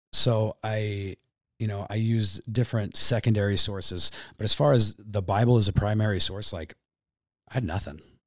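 A man speaks at a moderate pace in an ordinary speaking voice, pitched fairly low. The recording is very clean, with a silent background and fairly even intonation. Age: 30s. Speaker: professional boxer. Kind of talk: casual chat.

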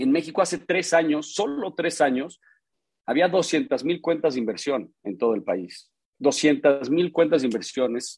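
This man has a normal speaking voice with a fairly high pitch. He talks at a fairly slow pace with lively intonation. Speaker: investment firm executive. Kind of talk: casual chat.

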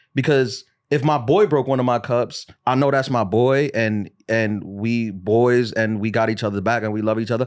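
Medium pitch from a man in an ordinary speaking voice, with an American accent and a moderate pace. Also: very clean recording, silent background. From New York City. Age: 30s. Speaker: comedian. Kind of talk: casual chat.

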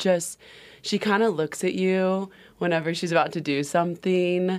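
With an unremarkable speaking voice, a woman speaks at a moderate pace in a fairly low pitch and fairly even intonation, on a very clean recording with a silent background. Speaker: nanny. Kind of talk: casual chat.

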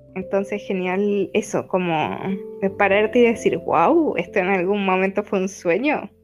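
A woman speaks at a medium pitch and a fairly slow pace, with ordinary pitch variation. Music plays in the background. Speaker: nutritionist and digital nomad traveller. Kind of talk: casual interview.

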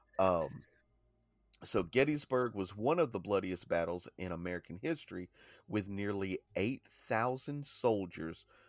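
On a very clean recording with a silent background, a man with an unremarkable speaking voice talks at a fairly slow pace, his fairly low pitch carrying lively intonation. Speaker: podcast co-host. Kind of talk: informative podcast narration reading history.

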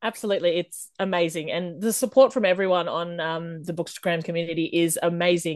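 With an Australian accent, a woman speaks at a fairly quick pace in a fairly low pitch, her pitch varying in an ordinary way against a quiet background. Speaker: indie romance author. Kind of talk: interview.

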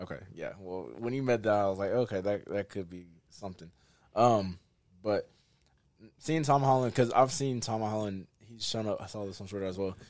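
This man has an ordinary speaking voice, fairly low in pitch, with ordinary pitch variation. He talks at a fairly quick pace, with big swings in loudness. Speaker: friend of host. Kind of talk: casual chat.

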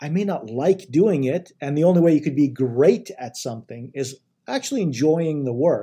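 Somewhat breathy and fairly high, a man's voice moves along at a moderate pace. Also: lively intonation. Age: 40s. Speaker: chief technology officer. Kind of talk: interview. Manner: halting, many fillers and repetitions.

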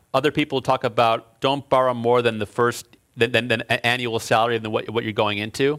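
In a normal speaking voice with an American accent, a man speaks at a moderate pace with medium pitch and fairly even intonation on a very clean recording with a silent background. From Chicago. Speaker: engineering professor and author. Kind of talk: lecture.

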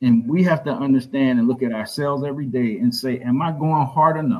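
Here a man talks with a Southern US accent. His pitch sits fairly high. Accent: US South. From South Carolina, Orangeburg. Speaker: author and school founder. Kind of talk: interview.

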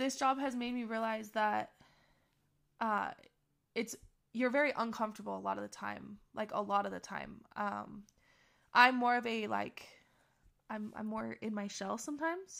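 A woman talks at a fairly slow pace, with long, frequent pauses. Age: 20s. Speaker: sheriff's deputy. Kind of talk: casual interview chat.

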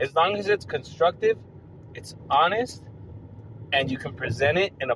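Somewhat breathy, a man talks at a moderate pace. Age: 30s. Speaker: podcast host. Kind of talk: casual monologue.

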